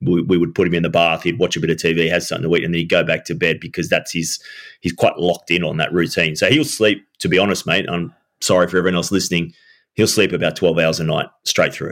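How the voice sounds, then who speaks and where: In an Australian accent, a man talks at a very fast pace with fairly even intonation. His voice is very deep and low, and the recording is very clean with a silent background. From Australia, Sydney. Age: 40s. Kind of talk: casual interview. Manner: halting, repeats words.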